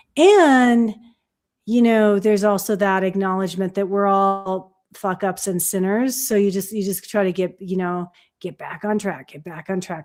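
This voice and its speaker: Over music in the background, a woman speaks at a moderate pace and medium pitch with fairly even intonation. Her loudness swings widely. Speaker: midwife and stream co-host. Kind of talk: casual chat. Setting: live stream video call.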